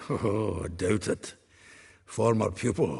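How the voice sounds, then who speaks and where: Using a put-on character voice, a man sounds raspy and fairly low in pitch as he speaks at a fairly slow pace. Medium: video game. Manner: chatty, laughing, earthy.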